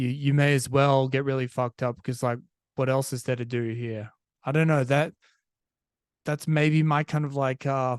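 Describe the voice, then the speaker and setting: Against a quiet background, a man with an Australian accent speaks at a moderate pace and a fairly high pitch in a monotone, flat intonation, the sound dry and close with no echo. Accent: Australian, sometimes taken for British. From Australia, Perth. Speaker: podcast host. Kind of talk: casual monologue. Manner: conversational, many fillers and restarts.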